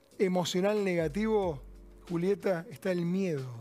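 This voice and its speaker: Over background music, a man with a high pitch talks at a fairly slow pace with ordinary pitch variation. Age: 60s. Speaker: cardiologist and author. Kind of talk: interview.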